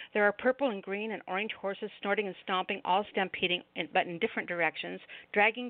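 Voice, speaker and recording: A woman speaks fairly quickly in an ordinary speaking voice, medium-pitched with fairly even intonation. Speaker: poetry radio show host. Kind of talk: casual open mic hosting. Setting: phone call from home office. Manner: warm, affectionate.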